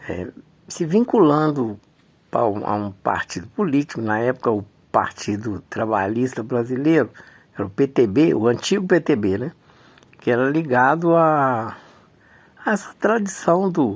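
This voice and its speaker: Pitched at a medium level, a man talks at a fairly slow pace, his pitch swinging very widely, with long, frequent pauses. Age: 70s. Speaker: community activist recounting life story. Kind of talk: personal testimony / memoir talk. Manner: halting, with frequent fillers and repetitions.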